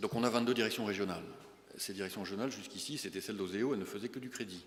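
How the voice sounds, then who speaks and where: There is audible room echo around a man with a fairly low pitch. He talks at a very fast pace. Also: ordinary pitch variation. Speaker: bank chief executive. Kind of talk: business breakfast talk with Q&A. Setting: breakfast meeting with audience. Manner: hesitant, many fillers.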